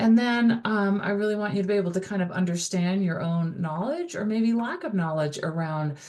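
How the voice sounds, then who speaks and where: A woman at medium pitch talks fairly quickly, with hardly any pauses and ordinary pitch variation. Audible room echo surrounds her voice. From US, Dutch immigrant family. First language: Dutch. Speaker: college instructor. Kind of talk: recorded course lecture. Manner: casual, many fillers.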